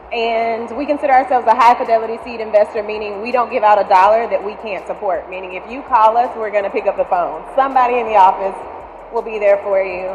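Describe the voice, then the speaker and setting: A woman talks at a fairly quick pace in a fairly high voice with ordinary pitch variation. Noticeable background noise can be heard. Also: big swings in loudness. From Alabama. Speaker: venture investor and panel moderator. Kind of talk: moderated panel interview. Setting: stage with audience.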